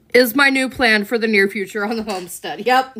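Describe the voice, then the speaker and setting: A woman with a fairly high pitch and an American accent. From US South. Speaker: live streamer answering viewer questions. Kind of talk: casual live stream chat.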